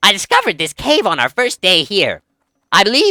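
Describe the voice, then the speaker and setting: This put-on character voice sits at a fairly high pitch and moves at a fairly quick pace. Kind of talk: fantasy role-play voice.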